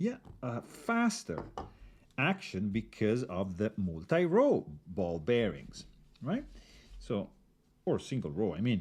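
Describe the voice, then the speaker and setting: A man speaks very slowly with an Italian accent. His pitch swings very widely, broken by long, frequent pauses. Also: medium pitch for a man. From Italy. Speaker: knife reviewer. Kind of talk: tutorial. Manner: casual, halting with fillers.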